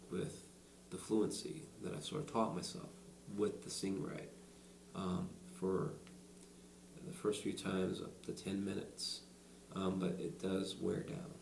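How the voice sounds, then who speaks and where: With audible room echo around him, a man with a fairly low pitch talks at a fairly slow pace, his pitch swinging very widely. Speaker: person who stutters, college student. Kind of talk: interview. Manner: halting.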